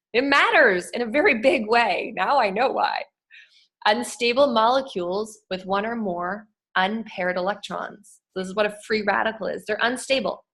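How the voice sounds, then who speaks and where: The woman's voice sits fairly high, with ordinary pitch variation. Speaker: wellness educator. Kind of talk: online presentation. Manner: fast.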